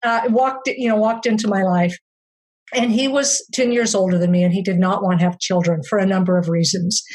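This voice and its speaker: A woman's somewhat breathy voice keeps very even loudness and ordinary pitch variation. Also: medium pitch for a woman, fairly quick pace. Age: 60s. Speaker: memoir author. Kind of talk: interview. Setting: podcast interview. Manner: halting.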